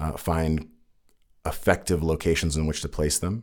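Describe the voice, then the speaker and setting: At a fairly quick pace, a man with a Californian accent and a very deep, low pitch speaks on a very clean recording with a silent background. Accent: Californian American. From California, Santa Cruz. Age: 30s. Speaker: city council member. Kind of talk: interview answers.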